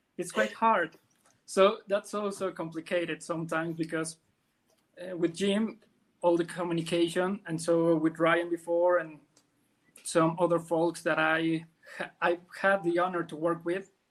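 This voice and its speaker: Speaking in a Spanish accent, a man with a high pitch keeps a flat, monotone intonation at a moderate pace, broken by long, frequent pauses. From Mexico. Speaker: comic colorist and letterer. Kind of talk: podcast interview.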